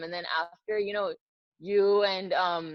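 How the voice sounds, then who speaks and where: With an American accent, a woman talks at a moderate pace in a normal speaking voice. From US, New Jersey. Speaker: cricket presenter. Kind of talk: interview. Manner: casual, many fillers.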